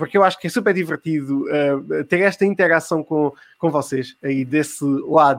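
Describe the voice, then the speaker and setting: His pitch moves with ordinary variation. The man keeps a moderate pace. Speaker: podcast host running a live quiz. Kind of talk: live-streamed casual chat and quiz hosting.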